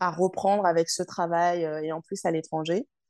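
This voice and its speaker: Against a quiet background, a woman with a fairly low pitch and a dark, mellow tone speaks at a moderate pace with ordinary pitch variation. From Paris suburbs, France. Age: 20s. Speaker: former hospital worker turned traveler. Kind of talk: interview.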